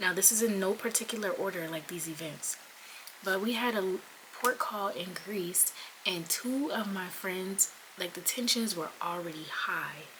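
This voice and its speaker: Someone with an American accent talks at a moderate pace with ordinary pitch variation over noticeable background noise. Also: woman. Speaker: Navy sailor and content creator. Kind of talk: storytime vlog.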